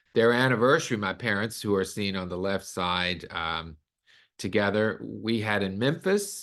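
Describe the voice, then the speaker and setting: Against a quiet background, a man with an American accent and a fairly low pitch talks at a moderate pace with ordinary pitch variation. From US South, Arkansas. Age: 60s. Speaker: concert pianist and host. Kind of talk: webinar presentation.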